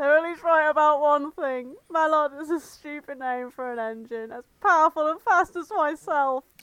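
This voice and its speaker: A growling, high-pitched, put-on character voice at a moderate pace, with hardly any pauses. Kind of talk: haughty. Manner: snarling, arrogant, indignant.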